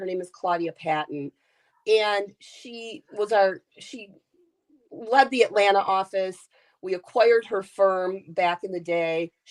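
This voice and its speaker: A woman speaks in an animated tone at a medium pitch with ordinary pitch variation, her voice dry and close with no echo against a quiet background. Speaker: executive search CEO. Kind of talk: interview.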